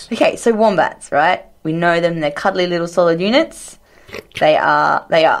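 This woman has an Australian accent. She speaks at a moderate pace. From rural Australia. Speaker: science podcast co-host. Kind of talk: casual science chat.

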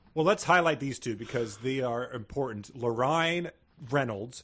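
Using a plain, everyday voice, a man speaks at a moderate pace. His medium pitch rises and falls with lively intonation. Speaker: comedy podcast co-host. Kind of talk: comedic casual chat. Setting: at home, remote recording.

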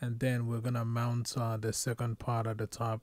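Recorded with a dry sound with no echo, a man talks at a moderate pace. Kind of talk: tutorial. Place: home room. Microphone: phone near.

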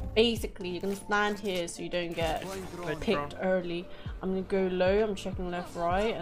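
The speaker has a British accent and fairly even intonation. Clear music is heard in the background. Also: woman. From UK. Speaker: streamer. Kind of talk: casual gaming chat and callouts. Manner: casual, chatty. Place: home room. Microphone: studio mic.

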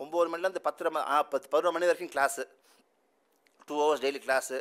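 A man speaks against a quiet background. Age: 40s. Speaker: musician; speaker. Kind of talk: speech. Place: hall. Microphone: podium.

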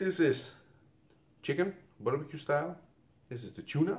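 Heard with audible room echo, a man with a Dutch accent speaks in a dark, mellow tone. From Netherlands. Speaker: YouTuber reviewing military rations. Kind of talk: casual taste-test review video. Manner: halting, non-fluent English. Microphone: phone near.

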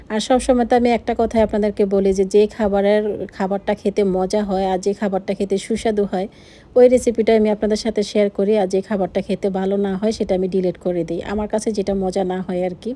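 Her tone dark and mellow, a woman speaks at a medium pitch with monotone, flat intonation. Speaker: vlogger. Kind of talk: casual vlog chat; cooking tutorial.

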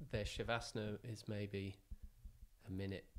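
A man with an English accent, fairly even intonation and a moderate pace. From England. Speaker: podcast co-host. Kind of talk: casual interview. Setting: in person at guest's home. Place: gym. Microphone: handheld.

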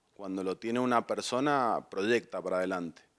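The pace is fairly slow, with ordinary pitch variation and a quiet background. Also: man. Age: 30s. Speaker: lawyer and political candidate; candidate. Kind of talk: campaign interview speech. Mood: earnest, persuasive. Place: studio. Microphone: handheld.

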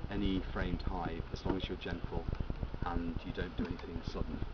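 Loud background noise sits behind the speaker. He is a man talking at a moderate pace. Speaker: presenter. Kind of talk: lecture. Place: open country. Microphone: camera far.

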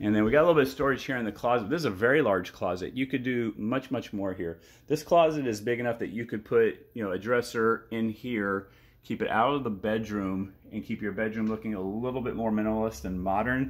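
Talking very fast, a man shows ordinary variation in pitch. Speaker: real estate broker giving property tours. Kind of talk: video property walkthrough tour. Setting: walking tour of a house, indoors and outdoors. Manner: enthusiastic, casual. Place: home room. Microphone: phone near.

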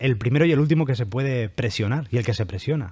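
This man's medium-pitched voice has a dark, mellow tone, a somewhat breathy quality and lively intonation. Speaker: podcast host. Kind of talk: casual chat.

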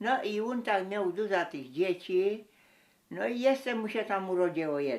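A woman speaks at a medium pitch, her voice making very wide pitch swings. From Mazovia-Lesser Poland borderland, Poland. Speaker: village folk singer and storyteller. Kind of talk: folk tale telling.

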